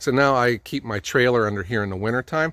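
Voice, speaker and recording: A normal speaking voice with an American accent and lively intonation. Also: man. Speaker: firewood business owner. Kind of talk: casual vlog narration. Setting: outdoors. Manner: casual, many fillers.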